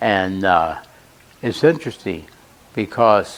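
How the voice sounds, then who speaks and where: Noticeable background noise behind a male speaker with ordinary pitch variation. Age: 90s. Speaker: retired military pilot, war veteran. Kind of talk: inspirational talk to students. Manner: halting, with fillers.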